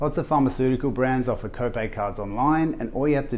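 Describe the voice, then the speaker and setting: A man's medium-pitched voice at a fairly quick pace, with audible room echo. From Australia. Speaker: video host. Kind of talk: scripted tutorial.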